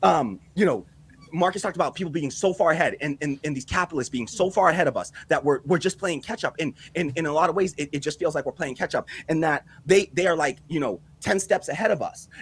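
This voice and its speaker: Talking at a very fast pace, a man with a fairly high pitch uses ordinary pitch variation. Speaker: political commentary panel host. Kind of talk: live panel discussion.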